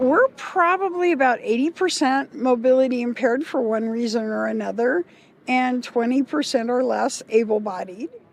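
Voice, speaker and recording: Noticeable background noise sits behind a woman with a high-pitched voice. She speaks at a moderate pace with ordinary pitch variation. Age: 60s. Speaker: camp leader at a festival. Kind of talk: interview.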